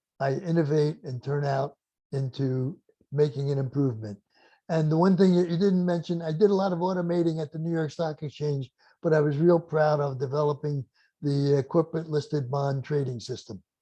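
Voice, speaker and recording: Somewhat breathy and dark, mellow in tone, a man speaks fairly quickly in a fairly high voice. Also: ordinary pitch variation. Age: 80s+. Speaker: inventor and business mentor. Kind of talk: interview.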